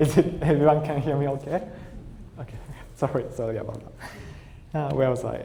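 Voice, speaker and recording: A man's dark, mellow voice with vocal fry and ordinary pitch variation, in audible room echo. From Japan, Tokyo. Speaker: Buddhist minister, guest lecturer. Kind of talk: lecture. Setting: temple hall with audience, PA system. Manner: halting; quiet. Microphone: too quiet, volume adjusted.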